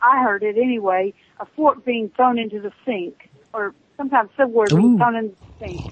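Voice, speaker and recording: A woman's fairly high-pitched, unremarkable speaking voice, with fairly even intonation at a moderate pace. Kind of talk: phone-in caller telling a ghost story. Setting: phone line.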